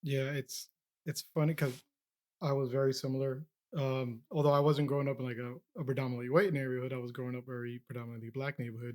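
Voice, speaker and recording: The speech comes at a very fast pace with a Spanish accent and fairly even intonation. The sound is dry and close, without echo. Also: man, medium pitch for a man. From Peru. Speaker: podcast host. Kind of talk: casual interview conversation.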